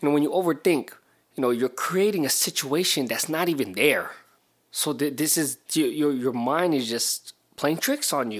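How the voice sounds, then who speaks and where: Moderate pace and ordinary pitch variation from a man with a fairly high voice. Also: very clean recording, silent background. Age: 40s. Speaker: podcast host. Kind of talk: solo motivational talk. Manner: casual, animated.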